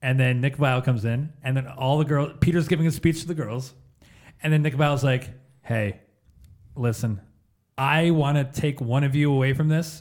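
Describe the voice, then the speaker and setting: A somewhat breathy man's voice, fairly high in pitch, at a moderate pace with fairly even intonation and long, frequent pauses. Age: 30s. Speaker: podcast co-host. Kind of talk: casual chat.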